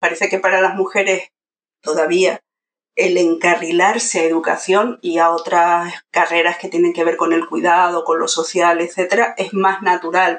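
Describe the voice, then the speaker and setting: The woman's fairly low voice stays monotone, with flat intonation. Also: moderate pace. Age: 50s. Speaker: university pedagogy lecturer. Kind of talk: casual interview.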